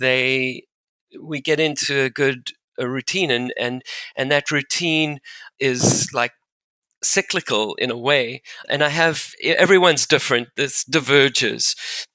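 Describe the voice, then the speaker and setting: A man with a fairly high pitch and a bright, sharp tone speaks at a fairly slow pace with fairly even intonation, in a very clean recording with a silent background and a dry, close sound with no echo. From South Africa. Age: 60s. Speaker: financial planner. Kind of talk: podcast interview. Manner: halting, many repetitions and fillers.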